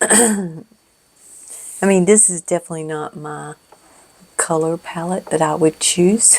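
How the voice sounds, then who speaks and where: A soft-spoken woman's fairly low voice at a fairly slow pace, with big swings in loudness and long, frequent pauses. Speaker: craft video creator. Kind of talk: casual crafting tutorial chat. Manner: halting. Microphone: cheap foam windscreen on mic.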